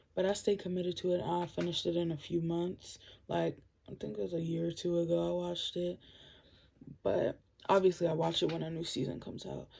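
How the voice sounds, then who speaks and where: Quiet speech moves along at a fairly quick pace. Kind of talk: casual vlog recommendations.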